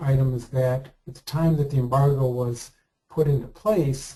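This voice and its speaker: Speaking fairly slowly, a man with a medium-pitched, dark, mellow, somewhat breathy voice keeps his intonation fairly even. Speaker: committee member in online politics game. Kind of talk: policy presentation in committee meeting. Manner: halting, many fillers.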